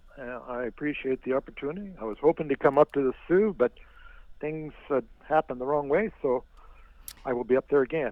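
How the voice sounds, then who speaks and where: An unremarkable speaking voice: a man talking at a fairly quick pace with a fairly high pitch and ordinary pitch variation. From Finland, raised in northern Ontario, Canada. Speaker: author and storyteller. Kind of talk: phone interview answer. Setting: phone line.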